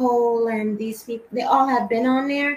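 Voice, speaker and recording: There is noticeable background noise as a woman talks with fairly even intonation. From Trinidad; Rhode Island, US. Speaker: singer. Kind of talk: casual interview chat.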